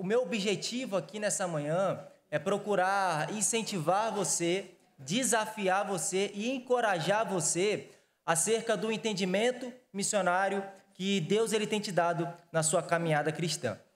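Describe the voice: The speaker has a Rio de Janeiro accent. The pace is fairly slow. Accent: carioca.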